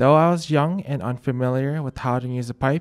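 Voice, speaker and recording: A man with a medium pitch and a plain, everyday voice talks at a fairly quick pace with ordinary pitch variation, in a very clean recording with a silent background and a dry, close sound with no echo. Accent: American. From Colorado. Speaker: student. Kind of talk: scripted narration.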